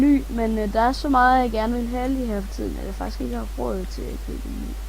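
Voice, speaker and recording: A soft-spoken woman at a fairly quick pace. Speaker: gaming youtuber. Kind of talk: let's play commentary. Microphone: quiet microphone.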